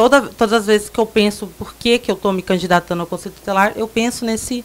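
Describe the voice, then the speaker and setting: Her pitch sits fairly high and her intonation fairly even. The woman speaks at a very fast pace. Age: 20s. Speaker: council candidate. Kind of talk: radio interview.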